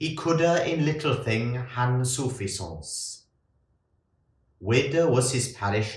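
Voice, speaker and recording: A man with a somewhat breathy voice talks very slowly, his intonation lively. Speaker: monk. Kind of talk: poetry reading.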